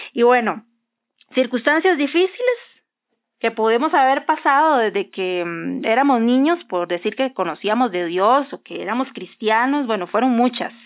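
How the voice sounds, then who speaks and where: In a very clean recording with a silent background, a woman with a high pitch speaks at a fairly slow pace with lively intonation. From Costa Rica (Cartago). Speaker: podcast co-host. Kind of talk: casual chat.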